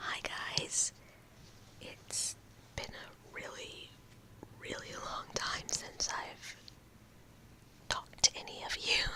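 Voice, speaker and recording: Someone whispers at a very slow pace in a relaxed tone, with long, frequent pauses and noticeable background noise. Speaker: ASMR video creator. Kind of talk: ASMR whisper rambling with sounds. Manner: whispered, relaxed.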